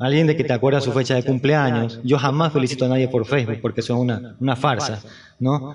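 Speaking at a very fast pace, a man with a medium pitch sounds somewhat breathy, keeping fairly even intonation and very even loudness. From Ecuador, Guayaquil. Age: 50s. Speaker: painter. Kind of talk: interview.

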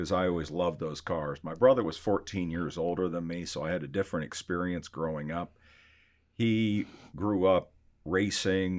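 In a very clean recording with a silent background, a man speaks at a moderate pace with a very deep, low pitch and ordinary pitch variation. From Arizona (Scottsdale). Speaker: collector car auction company executive. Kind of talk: interview.

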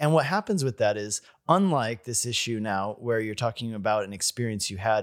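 In a very clean recording with a silent background, a man with an American accent uses a normal speaking voice. He talks at a moderate pace and a medium pitch, with lively intonation. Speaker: interviewer, preacher. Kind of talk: interview conversation about preaching. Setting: conference, in person.

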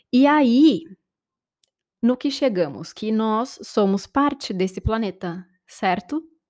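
A woman with a Brazilian accent speaks very slowly at a fairly high pitch, with lively intonation. She leaves long, frequent pauses, and the recording is very clean with a silent background. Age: 30s. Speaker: podcast host and life-transition coach. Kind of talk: reflective solo podcast monologue.

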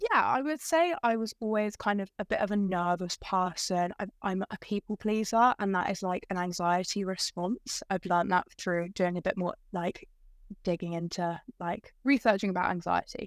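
A woman with an English accent speaks at medium pitch and a moderate pace, with hardly any pauses, ordinary pitch variation, and a dry, close sound with no echo. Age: 20s. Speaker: podcast guest, bereaved young adult. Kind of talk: casual chat. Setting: video call.

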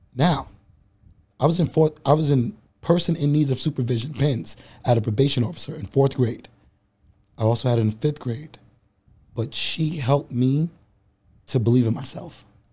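Dark and mellow, the voice is somewhat breathy with ordinary pitch variation. It moves at a moderate pace with long, frequent pauses. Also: man, fairly high pitch for a man. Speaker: bodybuilder and public speaker. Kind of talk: casual chat. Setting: studio.

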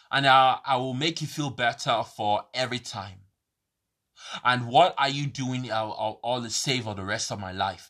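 A man with a London accent speaks at a moderate pace over a quiet background. His tone is bright and sharp, at medium pitch with ordinary pitch variation. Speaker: podcaster. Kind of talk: rambling monologue. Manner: halting, many fillers.

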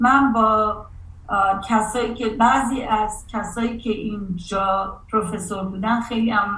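Audible echo from the room fills the recording. The words come out very slowly. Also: woman. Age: 50s. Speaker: artist and college professor. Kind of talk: interview.

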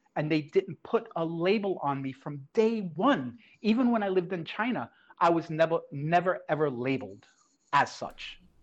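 Lively intonation comes at a moderate pace over a quiet background. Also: man, high pitch for a man. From Brooklyn, New York. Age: 50s. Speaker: esports education director. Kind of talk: interview.

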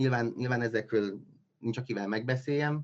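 A man speaks with ordinary pitch variation. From Transylvania, Romania (Csíkszereda). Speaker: scientific assistant editor. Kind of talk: casual interview. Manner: halting, many fillers and repetitions.

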